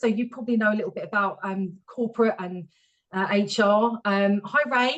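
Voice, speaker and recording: A woman speaks at a fairly quick pace. Her pitch is fairly high, with ordinary variation. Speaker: HR professional, webinar speaker. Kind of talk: webinar presentation. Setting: video call webinar. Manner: fast.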